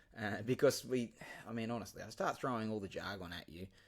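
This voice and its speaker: This man speaks in a Queensland accent. His pitch is fairly low, with ordinary pitch variation. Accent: Queensland Australian. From Queensland, Australia (Ipswich). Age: 40s. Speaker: podcast host and teacher. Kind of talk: casual monologue. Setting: remote recording software. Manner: hesitant, many fillers.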